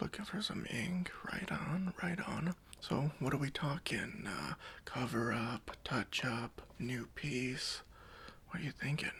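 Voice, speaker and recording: A man whispering in a relaxed tone at a fairly slow pace. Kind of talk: ASMR roleplay, personal attention. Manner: soft-spoken, friendly, relaxed.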